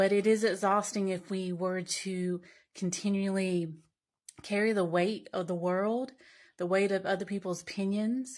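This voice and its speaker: On a very clean recording with a silent background, a woman speaks fairly slowly at a medium pitch with fairly even intonation. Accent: Southern US. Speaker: social media commenter. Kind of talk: casual monologue to camera.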